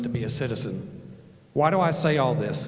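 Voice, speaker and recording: Noticeable background noise and audible echo of a room around a man's voice. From northern Alabama, Huntsville area. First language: German. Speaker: Air Force veteran and speaker. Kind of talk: speech at a rally. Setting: stage with audience, handheld mic.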